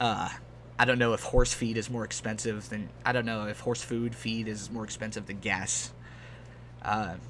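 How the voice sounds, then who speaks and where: The speaker has a relaxed tone and an American accent, talking at a moderate pace. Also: man. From Texas. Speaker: gaming YouTuber. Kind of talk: casual gameplay chat. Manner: relaxed, rambling with fillers.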